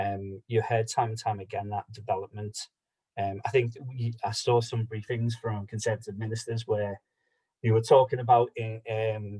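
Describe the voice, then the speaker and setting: With a Liverpool accent, a man speaks in a dark, mellow, somewhat breathy tone and a monotone, flat intonation. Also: medium pitch for a man, dry, close sound with no echo. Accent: Scouse. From Liverpool, England. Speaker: policy advocate. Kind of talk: online meeting presentation. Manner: fast.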